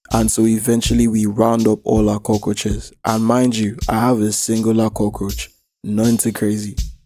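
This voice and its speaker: Music plays in the background as a man speaks at a fairly low pitch and moderate pace. His intonation is monotone and flat, and his loudness very even. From Nigeria. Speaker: animator and YouTuber. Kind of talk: comedic storytelling rant; casual address to viewers.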